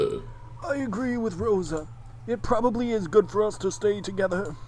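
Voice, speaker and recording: A put-on character voice at a moderate pace and fairly high pitch, with clear background noise. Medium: read story. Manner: formal, polite.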